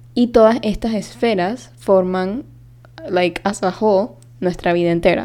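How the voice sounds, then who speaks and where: At a fairly slow pace, a woman speaks with lively intonation at medium pitch. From Panama. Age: 20s. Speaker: podcast host. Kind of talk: casual monologue.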